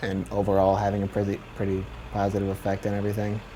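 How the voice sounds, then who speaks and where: This man talks at a fairly quick pace in a fairly low pitch, his intonation fairly even. Noticeable background noise sits behind him. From Michigan, Redford (Detroit area). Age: 20s. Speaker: university student. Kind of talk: documentary interview.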